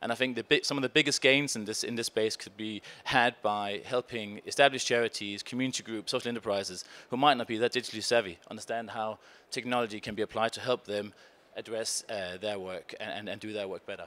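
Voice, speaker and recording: In a Danish accent, the speaker talks very fast with a bright, sharp tone, fairly even intonation, big swings in loudness, and a dry, close sound with no echo. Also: man, medium pitch for a man. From Denmark. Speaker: conference panelist, innovation foundation researcher. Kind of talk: conference presentation. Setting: stage with audience.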